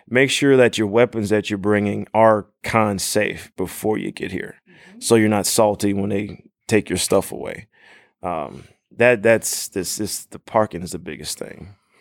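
A man with an ordinary speaking voice talks at a moderate pace, fairly low in pitch with ordinary pitch variation. His loudness swings widely on a very clean recording with a silent background. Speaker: cosplayer. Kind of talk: casual chat. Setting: convention with live audience.

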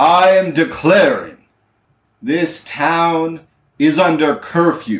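Using a put-on character voice, a man speaks at a high pitch and a very slow pace, with long, frequent pauses. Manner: commanding.

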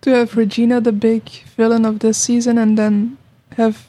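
A woman with a Belgian accent talks at a moderate pace in a fairly high pitch. Her tone is dark and mellow, somewhat breathy, with fairly even intonation. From Belgium. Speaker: podcast guest, TV fan. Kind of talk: casual chat. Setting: studio.

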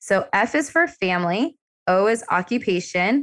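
At a medium pitch, a woman's voice moves through very wide pitch swings. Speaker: dentist and practice owner. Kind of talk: casual interview chat.

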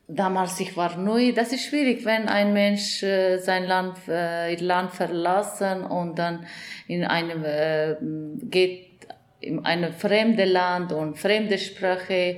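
A woman's medium-pitched voice with a non-native accent, very slow and fairly even in intonation, with audible room echo. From Afghanistan. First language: not German (speaking German). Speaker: journalist and director. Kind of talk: interview testimony. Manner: halting, many hesitations.

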